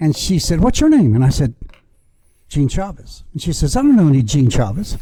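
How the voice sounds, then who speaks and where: With an American accent, a man talks fairly quickly in a dark, mellow tone at a fairly high pitch, his pitch swinging very widely. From Texas, San Antonio. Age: 70s. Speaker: podcast guest, former sales representative. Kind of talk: casual chat, storytelling. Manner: halting, many fillers.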